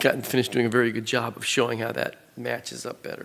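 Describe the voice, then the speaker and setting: A man talks very fast at a medium pitch in a flat monotone. Noticeable background noise sits behind him. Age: 60s. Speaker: bleeding disorders database researcher. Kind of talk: conference presentation.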